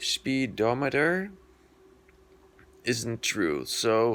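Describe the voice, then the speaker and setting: Speaking at a very slow pace is a man. His pitch sits in the medium range. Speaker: scooter vlogger. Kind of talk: casual tutorial. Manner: halting.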